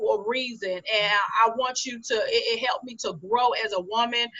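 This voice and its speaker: Noticeable background noise runs under the recording. A woman speaks at a moderate pace with lively intonation. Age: adult, mother. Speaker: business coach and publisher. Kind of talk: interview.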